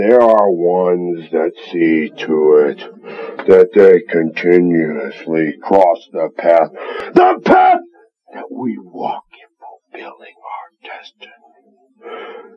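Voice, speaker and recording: Very slowly, a man performs a put-on character voice. His loudness swings widely. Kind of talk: wrestling promo. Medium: stage. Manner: intense, dramatic, menacing.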